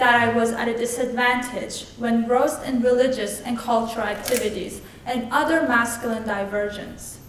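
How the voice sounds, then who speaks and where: A woman talks at a moderate pace in a high voice. Her voice carries audible room echo, and there is noticeable background noise. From Iran, Tehran. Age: 20s. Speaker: Zoroastrian priestess and student. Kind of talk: lecture. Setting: stage with audience. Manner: formal.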